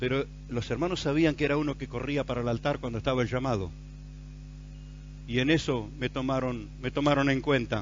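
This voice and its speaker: A man with a Rioplatense accent at medium pitch, fairly quick yet with long, frequent pauses, fairly even intonation and audible room echo. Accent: Argentine Rioplatense Spanish. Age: 60s. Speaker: pastor. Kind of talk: sermon.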